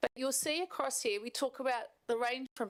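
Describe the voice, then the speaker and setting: At a fairly quick pace, a woman speaks in a dry, close sound with no echo. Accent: New Zealand. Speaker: health service manager presenting to council. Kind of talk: formal presentation. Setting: council meeting chamber.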